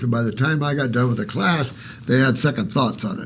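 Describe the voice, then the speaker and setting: Noticeable background noise accompanies a man as he speaks. Audible room echo can be heard too. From Alaska. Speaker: naturopathic health advisor. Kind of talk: live Q&A answering viewer questions. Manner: animated.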